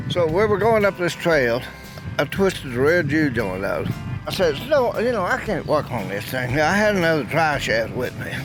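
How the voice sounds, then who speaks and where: A man's fairly high voice with very wide pitch swings at a moderate pace, music playing in the background. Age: 90s. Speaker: classic Bronco owner and off-roader. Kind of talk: interview answer.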